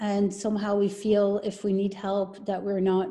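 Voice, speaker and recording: A woman speaks at a fairly slow pace in a somewhat breathy voice of medium pitch. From Belgium. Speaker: business and life coach. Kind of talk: interview.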